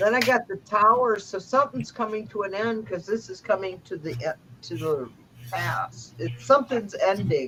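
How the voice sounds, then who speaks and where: Over noticeable background noise, a woman speaks at a moderate pace in a medium pitch, with very wide pitch swings and big swings in loudness. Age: 60s. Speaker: tarot reader and livestream host. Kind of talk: casual livestream chat with tarot reading.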